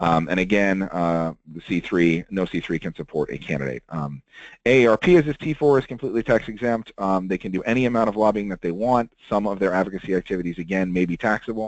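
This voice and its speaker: A man with a very deep, low pitch speaks at a very fast pace, the sound dry and close with no echo over a quiet background. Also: ordinary pitch variation. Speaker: webinar presenter on lobbying rules. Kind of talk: webinar presentation. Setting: webinar. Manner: many filler words (um, uh).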